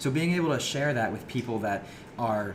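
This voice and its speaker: A man with an American accent talks at a fairly quick pace. Audible room echo surrounds his voice. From small town US. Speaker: podcast co-host. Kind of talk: casual chat. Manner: fast.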